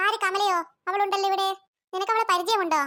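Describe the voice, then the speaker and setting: In a cartoonish character voice, a woman squeaks at an extremely high pitch. She goes at a fairly quick pace with monotone, flat intonation. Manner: jovial, familiar.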